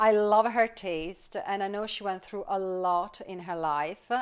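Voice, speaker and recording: An ordinary speaking voice moves at a moderate pace with ordinary pitch variation in a very clean recording with a silent background. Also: woman. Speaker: podcast host. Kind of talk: casual interview chat.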